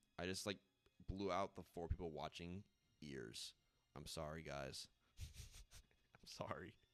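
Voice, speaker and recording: With a very deep, low pitch and vocal fry, a man speaks at a fairly slow pace with ordinary pitch variation, big swings in loudness and long, frequent pauses. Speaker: video game streamer. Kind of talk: casual live stream chat.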